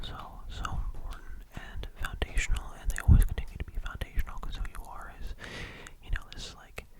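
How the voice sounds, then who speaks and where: The speaker whispers at a fairly quick pace. Background noise is noticeable. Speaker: ASMR creator. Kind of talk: ASMR soft-spoken rambling to camera. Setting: studio microphone, ear to ear binaural recording. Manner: soft-spoken, whispering, relaxing.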